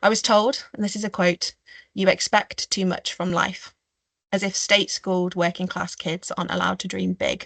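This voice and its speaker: The speaker has a Staffordshire accent and vocal fry. Intonation stays fairly even at a moderate pace against a quiet background. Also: woman. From Staffordshire, English Midlands. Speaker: marine biologist and conservationist; webinar panelist. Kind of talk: webinar talk. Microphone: video call.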